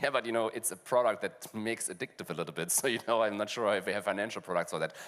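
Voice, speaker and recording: Speaking very fast with a German accent, a man talks at a medium pitch with ordinary pitch variation. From Germany. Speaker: fintech panelist. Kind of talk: panel discussion. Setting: stage with audience.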